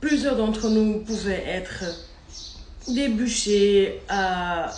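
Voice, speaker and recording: Over noticeable background noise and audible room echo, a woman talks at a very slow pace with ordinary pitch variation. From Maghreb. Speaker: social media personality. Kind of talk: vlog monologue. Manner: speaking louder than usual; animated.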